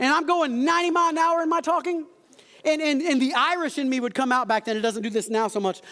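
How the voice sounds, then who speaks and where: A man speaks at an extremely high pitch with an animated tone. His pitch varies in an ordinary way, and his pace is fairly quick. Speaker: pastor. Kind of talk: sermon. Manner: fast.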